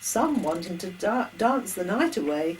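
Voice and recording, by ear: Intonation stays lively throughout. Someone reads aloud in a natural voice.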